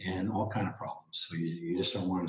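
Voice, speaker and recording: A somewhat breathy quality colors this man's voice. He keeps up a fairly brisk tempo. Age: 70s. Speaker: health author and retired cable industry worker. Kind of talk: interview. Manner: halting, many fillers and restarts.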